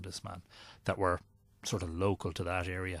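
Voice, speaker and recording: With an Irish accent, a man speaks in a very deep, low pitch, somewhat breathy, on a very clean recording with a silent background. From Ireland, Drogheda. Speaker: mythology and ancient sites researcher. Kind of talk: podcast interview.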